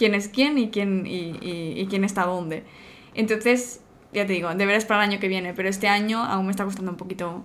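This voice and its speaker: Her pace is fairly quick. The woman keeps her intonation fairly even. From Spain, Barcelona; Catalonia, Spain. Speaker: video game community manager; guest. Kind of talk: interview. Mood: friendly, smiling. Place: home room.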